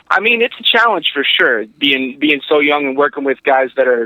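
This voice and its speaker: Someone speaks at a fairly quick pace with a northeastern Pennsylvania accent. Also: man. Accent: northeastern Pennsylvania American. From northeastern Pennsylvania, Wilkes-Barre. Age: 20s. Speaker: football head coach. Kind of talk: interview.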